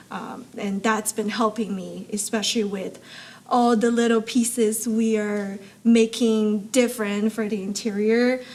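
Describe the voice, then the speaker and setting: A woman with a fairly high pitch, a fairly slow pace and monotone, flat intonation, over noticeable background noise. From abroad, moved to US in high school. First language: not English. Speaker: supply chain expert and amateur racer. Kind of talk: interview conversation.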